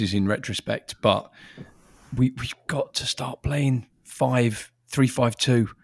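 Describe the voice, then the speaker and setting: A man speaks with an English accent and ordinary pitch variation. The sound is dry and close with no echo, on a very clean recording with a silent background. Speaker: football podcast co-host. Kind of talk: casual football chat. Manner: rambling, repetitive stammering.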